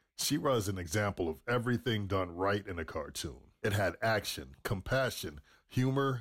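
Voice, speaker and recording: On a very clean recording with a silent background, a man with an ordinary speaking voice talks at a moderate pace with a fairly low pitch. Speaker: listener reading reviews. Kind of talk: reading aloud.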